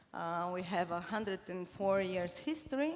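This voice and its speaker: Lively in intonation, a woman's medium-pitched voice moves at a fairly slow pace. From Cuba and Bulgaria. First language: Bulgarian. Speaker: corporate marketing leader. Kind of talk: conference talk. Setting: stage with audience. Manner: hesitant, many fillers.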